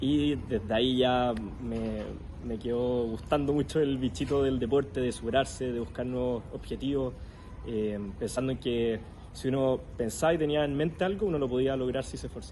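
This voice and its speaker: An ordinary speaking voice, with ordinary pitch variation, moves at a moderate pace. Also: man, medium pitch for a man. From Chile. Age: 20s. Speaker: para-athlete and psychologist. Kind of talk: interview.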